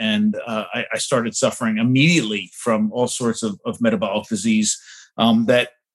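Speaking at a fairly quick pace with an American accent, a man uses a medium pitch and ordinary pitch variation. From New Jersey, New York City suburbs. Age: 40s. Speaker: anthropologist. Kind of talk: interview conversation. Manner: halting with many fillers.

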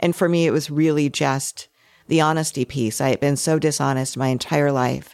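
Moderately paced speech from a woman, recorded very cleanly against a silent background. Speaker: podcast host and memoir author. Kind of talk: panel discussion.

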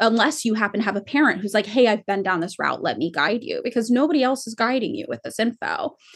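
A woman with an American accent speaks fairly quickly at a fairly high pitch. Her voice is somewhat breathy, her intonation lively, and the background quiet. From California. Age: 30s. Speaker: clothing company founder and author. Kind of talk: casual interview.

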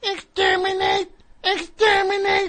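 In a put-on character voice, the speaker goes at a fairly slow pace with monotone, flat intonation. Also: woman. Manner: menacing, barking.

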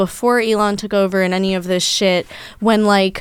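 With an American accent and an ordinary speaking voice, a woman talks at a fairly quick pace with ordinary pitch variation. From New York. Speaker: adult film actress. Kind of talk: casual chat.

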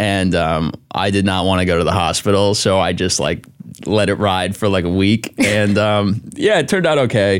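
A man with an American accent and a plain, everyday voice talks at a moderate pace, his pitch fairly low with ordinary variation. His loudness stays very even in a very clean recording with a silent background. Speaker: author and TikToker. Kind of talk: casual chat.

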